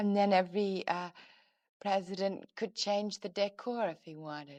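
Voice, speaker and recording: A woman with an American accent at a fairly slow pace and medium pitch, in an ordinary speaking voice against a quiet background. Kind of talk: interview answer. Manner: soft-spoken.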